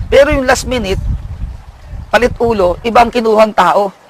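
A man with a high-pitched voice talks at a moderate pace over noticeable background noise. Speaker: prison official. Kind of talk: interview.

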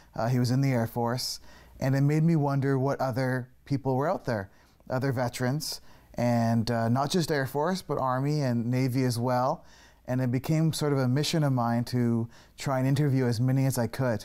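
A man speaks at a moderate pace with a dark, mellow tone and fairly even intonation. His loudness stays very even against a quiet background. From Canada. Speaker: filmmaker. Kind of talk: TV interview. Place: studio. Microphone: lapel.

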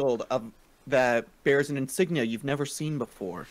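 The recording carries a natural reading voice.

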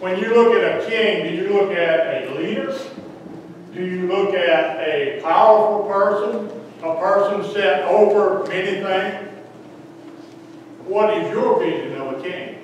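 This man talks at a fairly slow pace in a high voice with ordinary pitch variation. Strong room echo and light background noise fill the recording. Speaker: lay preacher. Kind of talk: sermon. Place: church.

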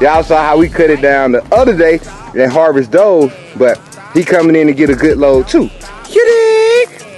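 Over faint background music, a man speaks with ordinary pitch variation in a dry sound with no echo. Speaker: urban farmer vlogger. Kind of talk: casual vlog chat. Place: garden. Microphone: phone near.

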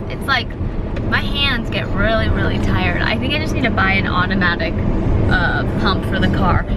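The speaker talks at a moderate pace. The sound is dry with no echo, set against loud background noise. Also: woman. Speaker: vlogger. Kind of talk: casual vlog chat. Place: car. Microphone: phone near.

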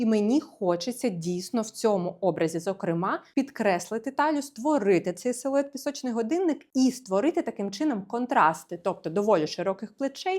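On a very clean recording with a silent background, a woman speaks in a fairly high pitch. Her voice makes very wide pitch swings, with hardly any pauses. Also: moderate pace. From Ukraine, Kyiv. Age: 30s. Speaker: fashion stylist and video blogger. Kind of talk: casual try-on haul video.

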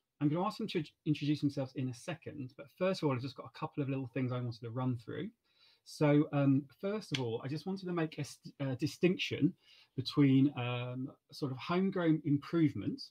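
Fairly quick, somewhat breathy speech from a man with a dark, mellow tone and ordinary pitch variation, against a quiet background. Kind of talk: event moderation introduction. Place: home room. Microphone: webcam.

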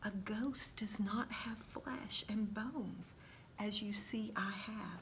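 A woman speaks at a slow pace with ordinary pitch variation. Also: medium pitch for a woman.

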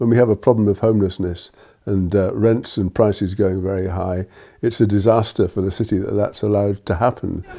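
The delivery is fairly quick, monotone and flat. A dark, mellow tone comes through against a quiet background. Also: man, fairly low pitch for a man. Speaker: local resident. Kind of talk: interview. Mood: concerned, critical. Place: home room. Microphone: lapel.

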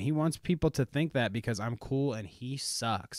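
A man talks at a fairly slow pace. The sound is dry with no echo, over a quiet background. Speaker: podcast host. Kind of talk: comedic podcast chat. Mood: joking, sarcastic. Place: home room. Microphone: studio mic.

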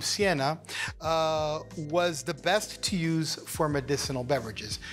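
Fairly slow speech from a man, faint music in the background. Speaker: cocktail show host. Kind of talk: tutorial. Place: studio. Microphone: lapel.

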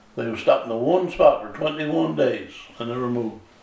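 The speech moves at a fairly quick pace in a Newfoundland accent. Noticeable background noise runs beneath it. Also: man. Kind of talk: oral history interview answer.

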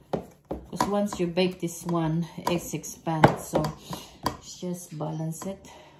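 Against loud background noise, a woman with a fairly low pitch speaks very slowly in a flat monotone, her loudness swinging widely. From Philippines. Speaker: cooking vlogger. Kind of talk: cooking tutorial. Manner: casual. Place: kitchen. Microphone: camera far.

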